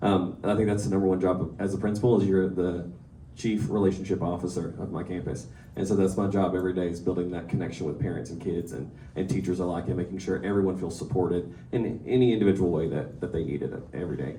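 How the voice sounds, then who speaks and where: A man with an American accent and a very deep, low pitch talks at a very fast pace with a dark, mellow tone, vocal fry, ordinary pitch variation and audible room echo. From East Texas. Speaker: school principal. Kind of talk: speech.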